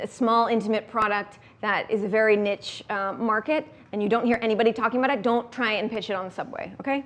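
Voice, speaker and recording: At a very fast pace, a woman speaks with a fairly high pitch. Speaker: startup founder and workshop speaker. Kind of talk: workshop talk. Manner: animated.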